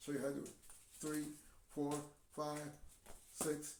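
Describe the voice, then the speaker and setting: A man talks in an animated tone, and audible room echo follows his words. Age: 70s. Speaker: video blogger. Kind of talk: casual monologue. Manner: halting.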